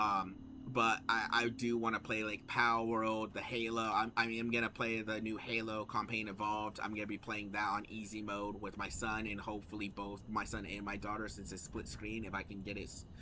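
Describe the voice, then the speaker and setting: A man talks at a fairly quick pace with hardly any pauses. His pitch is fairly low and his intonation flat and monotone. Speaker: gaming streamer. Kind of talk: casual chat. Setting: live stream. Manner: talkative.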